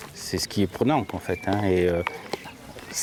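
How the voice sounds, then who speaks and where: Noticeable background noise accompanies a man talking at a moderate tempo. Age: 60s. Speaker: amateur rider. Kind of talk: interview. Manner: hesitant, many fillers.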